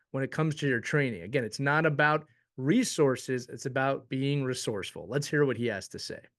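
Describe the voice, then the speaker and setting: A plain, everyday voice from a man, fairly high in pitch with ordinary pitch variation, at a fairly quick pace against a quiet background. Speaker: hockey show host. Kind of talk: show intro to camera. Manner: upbeat.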